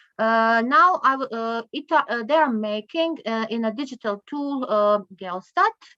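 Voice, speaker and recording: A woman with a Croatian accent, fairly high in pitch, with a bright, sharp tone, ordinary pitch variation, a fairly slow pace with hardly any pauses, and a dry, close sound with no echo against a quiet background. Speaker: conference speaker on poverty statistics. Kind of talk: conference presentation. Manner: halting, many fillers.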